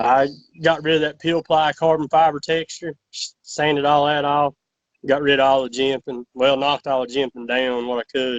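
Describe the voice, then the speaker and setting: A man with a Southern US accent and a fairly high pitch, monotone and flat, at a moderate pace, with a dry, close sound and no echo. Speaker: fill-in podcast guest, knife enthusiast. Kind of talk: casual chat. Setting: video call.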